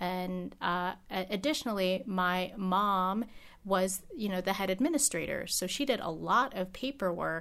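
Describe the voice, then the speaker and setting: On a very clean recording with a silent background, a woman with an ordinary speaking voice talks at a medium pitch and fairly slow pace, with ordinary pitch variation. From United States, Filipino immigrant family. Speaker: state legislator. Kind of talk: interview. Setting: her office.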